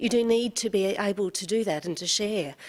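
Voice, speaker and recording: The speaker has an Australian accent and lively intonation. The pace is moderate. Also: woman. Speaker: audience member asking question. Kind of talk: audience question. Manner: hesitant.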